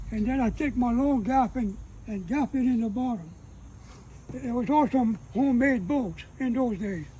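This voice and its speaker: A man with a Cajun accent, a dark, mellow tone and an extremely high pitch, with ordinary pitch variation and long, frequent pauses. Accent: Cajun Louisiana English. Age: 80s+. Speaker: elderly rural homesteader. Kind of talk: casual chat.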